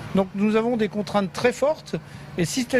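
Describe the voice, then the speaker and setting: A man's high pitch with ordinary pitch variation, amid noticeable background noise. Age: 60s. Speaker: fish logistics business manager. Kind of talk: on-site interview.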